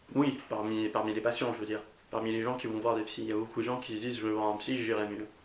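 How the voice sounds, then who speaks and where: A man's fairly low voice moves at a very fast pace in a monotone, flat intonation. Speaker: podcast host. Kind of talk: interviewer questions.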